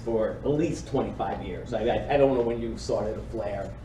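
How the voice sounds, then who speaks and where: There is noticeable background noise and audible room echo as a man talks at a fairly quick pace. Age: 60s. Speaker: state housing finance official. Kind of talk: panel talk. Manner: halting.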